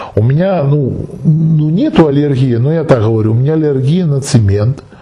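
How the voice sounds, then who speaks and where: Noticeable background noise and audible echo from the room accompany this man's speech. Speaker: esoteric video blogger answering viewer questions. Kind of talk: monologue answering a viewer question.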